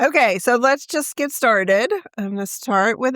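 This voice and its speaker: Very clean with a silent background, this recording of a woman sounds dry and close with no echo. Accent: Southern US. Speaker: branding and social media expert. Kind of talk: interview questions.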